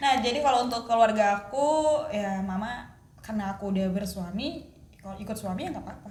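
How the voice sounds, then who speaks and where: Amid noticeable background noise and audible room echo, a woman talks at a very fast pace in a fairly high pitch with ordinary pitch variation and big swings in loudness. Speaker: podcast co-host. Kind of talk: casual chat. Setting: at home.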